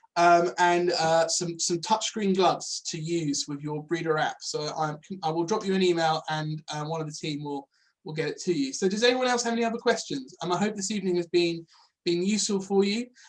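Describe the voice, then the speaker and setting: This man has a high-pitched voice. He talks at a fairly quick pace. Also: ordinary pitch variation. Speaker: farmer and product manager presenting software. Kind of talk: webinar presentation with Q&A. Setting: online webinar. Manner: fast; hesitant, many fillers.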